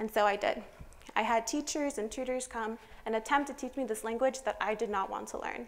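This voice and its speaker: In a Spanish accent, a woman talks at a fairly quick pace and a fairly high pitch. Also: fairly even intonation. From California, US. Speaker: student speaker. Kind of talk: prepared public talk.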